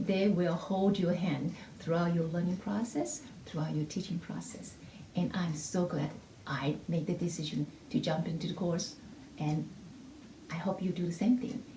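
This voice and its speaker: A woman with a non-native accent speaks at a moderate pace in a fairly low voice with ordinary pitch variation, taking long, frequent pauses amid audible room echo. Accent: heavy non-native. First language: not English (English is third language). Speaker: music teacher. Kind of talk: testimonial. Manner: halting.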